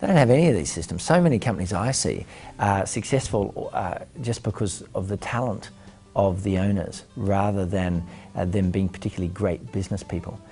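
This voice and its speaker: Music plays in the background as a man with an Australian accent speaks at a fairly quick pace. His voice is fairly low, with ordinary pitch variation. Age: 40s. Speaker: entrepreneur and business mentor. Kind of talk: interview answers. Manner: hesitant with frequent fillers.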